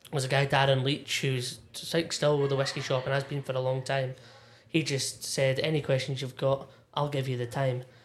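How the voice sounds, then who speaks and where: A man with a Scottish accent speaks in a fairly high, somewhat breathy voice. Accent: Scottish (Ayrshire). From Scotland, Irvine, North Ayrshire. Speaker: whisky enthusiast and former bartender. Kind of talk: casual chat. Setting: pub back room.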